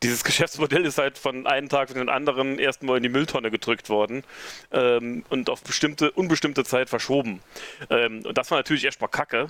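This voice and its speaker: At a fairly quick pace, an ordinary speaking voice comes through with ordinary pitch variation, very even loudness, and a dry, close sound with no echo. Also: man, medium pitch for a man. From rural northern Saarland, Germany. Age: 40s. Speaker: event organizer. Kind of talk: casual interview.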